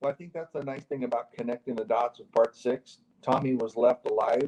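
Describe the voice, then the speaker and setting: This man has a medium pitch and a dark, mellow tone, with fairly even intonation at a fairly quick pace. His loudness swings widely in a dry, close sound with no echo. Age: 60s. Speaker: actor and retired casino executive. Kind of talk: interview panel. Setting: video call.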